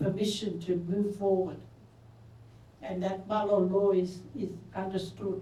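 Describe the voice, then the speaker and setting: In a room with audible echo, a woman talks at a fairly slow pace with a dark, mellow tone, medium pitch and vocal fry. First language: Torres Strait Creole / Pidgin. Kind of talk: conference panel talk.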